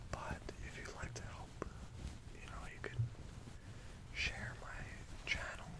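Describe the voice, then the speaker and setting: A man talks at a very slow pace, with loud background noise all around. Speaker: vlogger. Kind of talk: casual vlog chat. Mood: reflective, slightly low-key. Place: home room.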